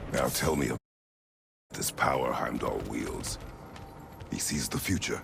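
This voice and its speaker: A man uses a put-on character voice at a moderate pace, pausing long and often. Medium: video game. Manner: terse, grave.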